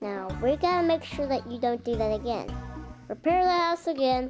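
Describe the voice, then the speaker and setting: A female-sounding voice puts on a high-pitched character voice while faint music plays in the background. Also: moderate pace. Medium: machinima. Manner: earnest, simple.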